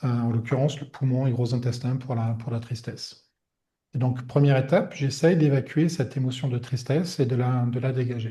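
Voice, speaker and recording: A man with a dark, mellow, somewhat breathy tone speaks fairly quickly at a medium pitch, his intonation fairly even. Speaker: energy healer. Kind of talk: webinar talk. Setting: online webinar. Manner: soft-spoken, calm; hesitant, many fillers.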